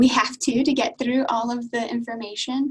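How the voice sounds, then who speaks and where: A high-pitched woman with an American accent. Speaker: university international admissions advisor. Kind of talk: webinar presentation. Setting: video call.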